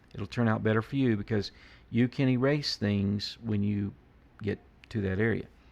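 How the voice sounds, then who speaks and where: A man with an ordinary speaking voice talks at a moderate pace, his fairly low pitch carrying fairly even intonation. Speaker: art teacher. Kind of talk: tutorial.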